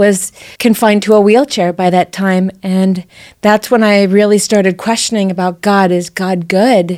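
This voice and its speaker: A woman's medium-pitched voice in an American accent, at a moderate pace with fairly even intonation. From US West Coast, San Diego. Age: 50s. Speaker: political candidate. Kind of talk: interview testimony.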